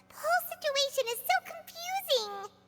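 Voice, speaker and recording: Squeaky and extremely high-pitched, a put-on character voice speaks at a moderate pace. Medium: video game.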